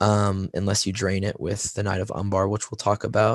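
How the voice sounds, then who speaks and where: A man with an American accent speaks at a fairly quick pace and a fairly low pitch, with vocal fry. The sound is dry and close, with no echo. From US South. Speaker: tabletop wargaming podcast co-host. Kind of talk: casual podcast discussion.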